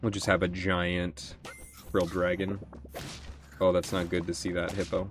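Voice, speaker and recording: Amid noticeable background noise, a man with a very deep, low pitch speaks at a moderate pace in a monotone, flat intonation with a playful tone and long, frequent pauses. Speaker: gaming YouTuber. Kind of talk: casual gameplay commentary. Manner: casual, thinking aloud, playful.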